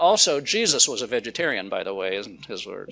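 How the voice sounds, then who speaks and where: Speaking at a fairly quick pace with a Pacific Northwest accent, a man lets his pitch swing very widely. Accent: American, Pacific Northwest. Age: 60s. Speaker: food company founder, speaker. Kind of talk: public talk. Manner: animated, casual with many fillers.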